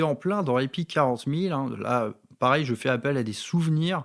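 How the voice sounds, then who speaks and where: A man speaks at a moderate pace with a slight northern French accent and lively intonation. The recording is very clean, with a silent background. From northern France, Valenciennes. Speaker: wargaming hobby youtuber. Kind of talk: casual monologue, personal anecdotes. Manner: hesitant, many fillers and repetitions.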